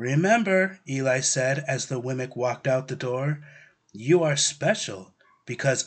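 The background stays quiet while an unforced reading voice carries the text.

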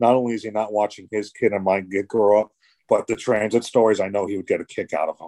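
A man's fairly low, dark and mellow voice in a New York accent, very fast and monotone with flat intonation, in a dry, close sound with no echo and a quiet background. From New York City, Brooklyn. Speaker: former paramedic, subway supervisor. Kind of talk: casual interview.

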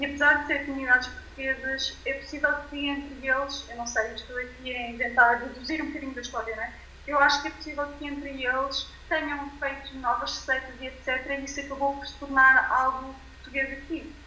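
A woman speaks at a fairly quick pace in a high, monotone, flat voice. Noticeable background noise and audible room echo surround her. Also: big swings in loudness. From Portugal. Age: 20s. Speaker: nutritionist. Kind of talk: casual interview. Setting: remote call. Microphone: poor sound quality via WhatsApp, quieter.

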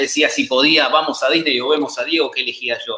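Against noticeable background noise, a man talks at a very fast pace with an Argentine accent. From Argentina. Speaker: football analyst. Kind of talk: casual chat.

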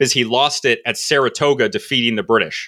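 A man with an American accent and a plain, everyday voice, medium in pitch, at a moderate pace, on a very clean recording with a silent background. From New England, Connecticut. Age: 20s. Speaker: podcaster, cultural anthropology commentator. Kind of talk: casual chat.

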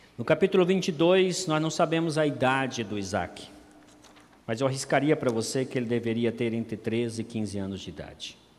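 A man speaks in an ordinary speaking voice at a medium pitch. His pace is moderate and his intonation lively. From Campo Grande, Brazil. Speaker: pastor. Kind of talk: sermon.

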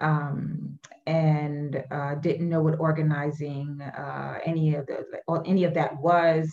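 A woman with a New York accent speaks in a very deep, low, somewhat breathy voice. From Brooklyn, New York. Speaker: education advocacy director. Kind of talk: casual chat.

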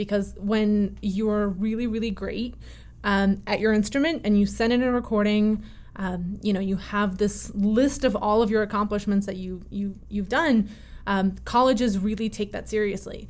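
An American accent marks this woman's speech, which has a normal speaking voice and a medium pitch. She talks at a moderate pace with fairly even intonation. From Connecticut, US (early childhood in Russia). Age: 20s. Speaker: violinist and festival co-director. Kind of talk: interview conversation.

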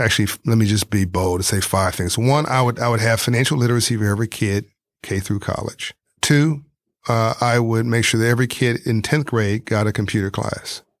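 Talking at a fairly quick pace with an American accent, a man has a plain, everyday voice, fairly low in pitch, with ordinary pitch variation. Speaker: entrepreneur and philanthropist. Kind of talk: interview. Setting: in France.

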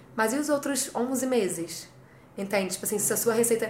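The voice moves at a fairly quick pace with lively intonation and audible room echo. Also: woman. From Rio de Janeiro, Brazil. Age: 20s. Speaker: travel blogger. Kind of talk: interview. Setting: studio.

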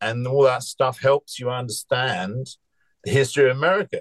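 With an English accent, a man speaks in a somewhat breathy voice at a fairly quick pace. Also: dry, close sound with no echo. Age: 70s. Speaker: musician. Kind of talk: casual chat.

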